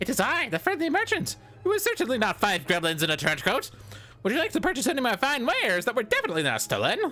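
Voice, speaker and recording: Here is a squeaky, put-on character voice with a fairly high pitch. It races along at a very fast pace. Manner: overly friendly, feigning innocence.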